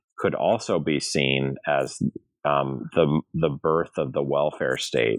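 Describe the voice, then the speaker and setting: Talking at a fairly slow pace, a man with an American accent speaks with vocal fry. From US Midwest, St. Louis, Missouri. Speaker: law and history professor, author. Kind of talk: interview about his book. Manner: halting, many fillers and repeated words.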